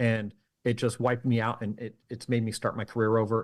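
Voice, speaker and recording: Very fast delivery from a man at medium pitch. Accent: American. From California. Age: 50s. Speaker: mentalist and magician. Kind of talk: interview conversation. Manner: halting.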